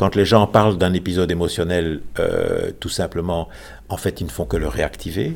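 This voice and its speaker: A man speaks with a very deep, low pitch and vocal fry. His pitch varies in an ordinary way at a moderate pace. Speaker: retired psychology professor. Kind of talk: interview.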